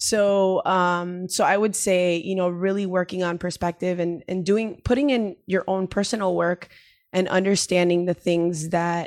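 In a plain, everyday voice, a woman speaks at a moderate pace and medium pitch with fairly even intonation. The recording is very clean with a silent background, and the sound is dry and close with no echo. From Miami, Cuban-American family. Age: 30s. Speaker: lawyer and nonprofit founder. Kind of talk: podcast interview.

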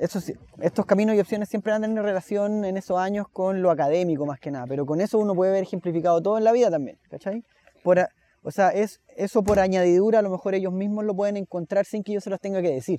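This man talks very fast in a high voice with a Chilean accent. His tone is dark and mellow, and the sound is dry and close with no echo. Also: ordinary pitch variation. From Chile, Santiago. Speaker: musician and teacher. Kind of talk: interview conversation. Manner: halting, with frequent repetitions.

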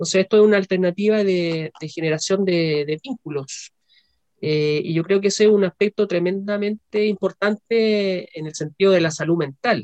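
A man's high-pitched voice at a moderate pace with ordinary pitch variation, dry and close with no echo. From Chile. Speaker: psychologist and chess instructor. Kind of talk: casual interview.

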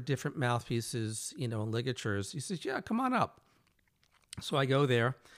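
In a very clean recording with a silent background, a man with an American accent speaks at a fairly quick pace with ordinary pitch variation in a plain, everyday voice. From New Jersey. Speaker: podcast host and saxophonist. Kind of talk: interview.

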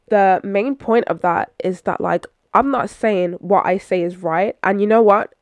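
A woman speaks with a London accent at a fairly slow pace, her pitch medium and its variation ordinary. The sound is dry and close, with no echo. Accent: London English (Multicultural London English). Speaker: podcast host. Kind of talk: casual solo monologue. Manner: animated.

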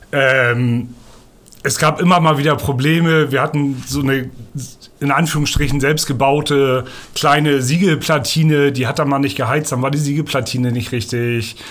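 Audible room echo surrounds a man with a fairly high pitch. He keeps a moderate pace and fairly even intonation. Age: 30s. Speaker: sales representative. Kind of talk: interview. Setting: in person, over coffee.

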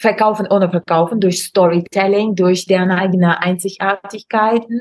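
A woman's medium-pitched voice with a Russian accent. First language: Russian (speaking German). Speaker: Instagram expert and online course creator. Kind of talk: casual interview chat. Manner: halting, many fillers.

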